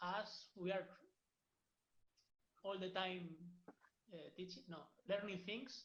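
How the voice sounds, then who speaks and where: With a Spanish accent, a man speaks in a high voice and a flat monotone at a fairly slow pace, leaving long, frequent pauses, with audible room echo. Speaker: football academy coach. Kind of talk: online workshop wrap-up. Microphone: audio problems.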